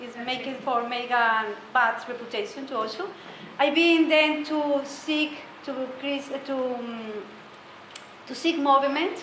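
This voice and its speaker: In a Spanish accent, a woman with a high pitch and ordinary pitch variation speaks at a fairly slow pace with long, frequent pauses, amid noticeable background noise and audible room echo. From Colombia. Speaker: meditation teacher. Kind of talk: talk to a group. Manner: halting.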